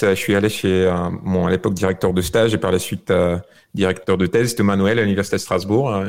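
A man with a fairly low pitch talks at a fairly quick pace with fairly even intonation. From Bulgaria. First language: Bulgarian (speaking French). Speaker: software creator. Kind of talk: remote interview. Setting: video call from home.

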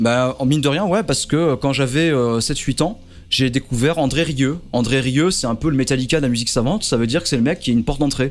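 A man's plain, everyday voice at medium pitch, with very even loudness, ordinary pitch variation and a fairly quick pace. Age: 30s. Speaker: YouTuber and primary school teacher. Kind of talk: radio interview.

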